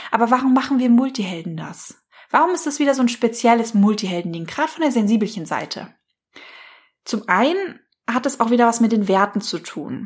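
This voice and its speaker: A woman's fairly high, fairly quick voice with a warm, enthusiastic tone and lively intonation. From Hesse, Germany. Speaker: life coach and podcast host. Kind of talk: solo podcast monologue. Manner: warm and enthusiastic.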